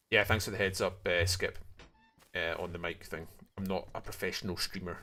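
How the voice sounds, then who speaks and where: A man with a Scottish accent over background music. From Scotland, far north. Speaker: video game streamer. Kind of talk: casual gaming livestream chat. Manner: sometimes speaks quietly.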